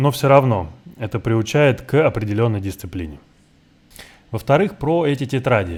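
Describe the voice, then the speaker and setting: A man with a Russian accent, medium-pitched and somewhat breathy, at a fairly quick pace with very wide pitch swings and long, frequent pauses. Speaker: former player commentator. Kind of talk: commentary. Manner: halting.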